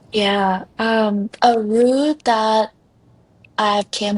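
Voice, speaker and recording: Against a quiet background, a woman speaks with a non-native accent. Her pitch is medium and her intonation fairly even. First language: not English. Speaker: life coach. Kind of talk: podcast interview.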